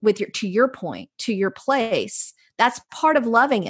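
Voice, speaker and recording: Against a quiet background, a woman with a North Carolina accent speaks at a fairly high pitch with lively intonation. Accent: Southern US (North Carolina). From North Carolina, US South. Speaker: placemaking researcher and author. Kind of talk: interview conversation.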